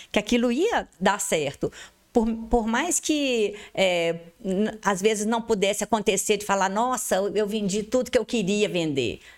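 The pace is fairly slow, with ordinary pitch variation. It is an unremarkable speaking voice. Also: woman, fairly high pitch for a woman, very clean recording, silent background. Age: 50s. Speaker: advertising and events entrepreneur. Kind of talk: interview.

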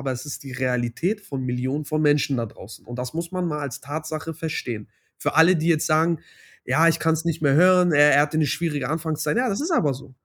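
Very fast speech comes from a man with a fairly high voice. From Hamburg, Germany. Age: 20s. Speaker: doctoral student. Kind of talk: interview.

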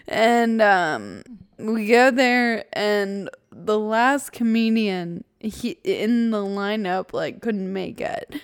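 Someone speaks at a very slow pace with an American accent and ordinary pitch variation, in a very clean recording with a silent background. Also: woman, fairly high pitch for a woman. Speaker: podcast co-host with rare muscular disease. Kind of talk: casual chat.

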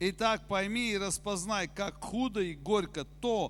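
The speaker is a man. His pitch is high. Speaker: preacher. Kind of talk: sermon, preached in Russian and interpreted sentence by sentence into German. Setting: church with congregation, also streamed online. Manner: animated, exhortative, direct appeals to the congregation.

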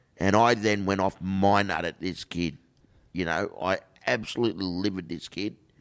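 Speaking with an Australian accent at a moderate pace, a man has a very deep, low pitch and fairly even intonation. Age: 50s. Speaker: inspirational speaker. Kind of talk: casual chat.

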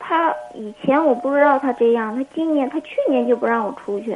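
A woman speaks at a high pitch and a fairly slow pace with ordinary pitch variation. Noticeable background noise can be heard. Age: 20s. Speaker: caller. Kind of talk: call-in advice conversation.

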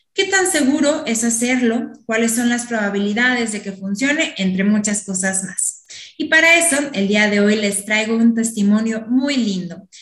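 In an ordinary speaking voice, a woman talks at a moderate pace with a fairly high pitch, lively intonation and hardly any pauses. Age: 20s. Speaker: podcast host. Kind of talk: interview; scripted intro.

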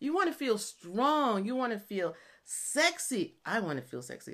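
A woman talks at a fairly slow pace in a raised, projected voice. Her tone is animated, bright and sharp. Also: very clean recording, silent background. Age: 50s. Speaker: online fitness and nutrition coach, military retiree. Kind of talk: solo podcast monologue.

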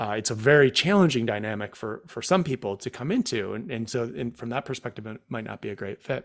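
Speaking very fast with hardly any pauses, a man with an American accent keeps a medium pitch and ordinary pitch variation in a very clean recording with a silent background. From Central New York State (Rome, NY). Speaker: startup founder and CEO. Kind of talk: casual interview. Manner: hesitant, many fillers and repeats.

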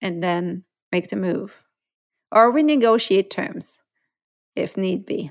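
Recorded very cleanly against a silent background, a woman speaks at a medium pitch. Her pace is very slow. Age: 50s. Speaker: hypnotherapist and podcast host. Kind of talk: solo podcast monologue.

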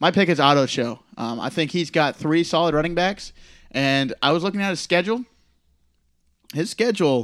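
An unremarkable speaking voice from a man, fairly high in pitch, with lively intonation, on a very clean recording with a silent background. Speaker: fantasy league commissioner. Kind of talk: casual chat.

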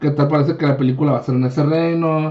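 A man's fairly high pitch at a fairly quick pace, with ordinary pitch variation. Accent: Mexican. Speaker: podcast host. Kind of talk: casual chat.

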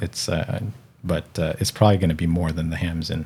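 Very deep and low, a man's voice has a dark, mellow tone and an American accent. It sounds somewhat breathy. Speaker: podcast host and ham radio operator. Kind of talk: casual interview chat.

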